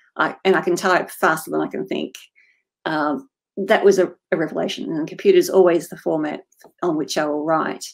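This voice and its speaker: Talking at a fairly quick pace with an Australian accent, a woman shows big swings in loudness. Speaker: fantasy author. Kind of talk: interview.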